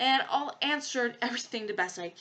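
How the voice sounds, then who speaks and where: A woman's bright, sharp tone with a slight French accent. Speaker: podcast host. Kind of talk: casual commentary monologue. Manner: animated; hesitant fillers.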